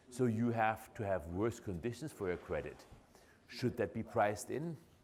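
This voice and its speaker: A man with a German accent, medium in pitch, with ordinary pitch variation, at a moderate pace. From Germany. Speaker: professor. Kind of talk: lecture. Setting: lecture hall with audience.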